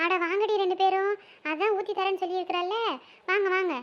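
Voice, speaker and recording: A put-on character voice, female-sounding and squeaky, sits at an extremely high pitch. It moves at a moderate pace. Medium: cartoon. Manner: homely, chatty, grumbling.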